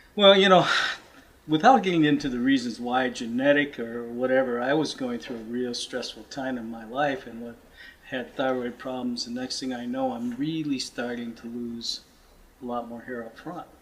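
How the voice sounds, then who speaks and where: Moderate pace, big swings in loudness and ordinary pitch variation, over noticeable background noise. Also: man, medium pitch for a man. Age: 60s. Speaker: client giving testimonial. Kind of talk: testimony.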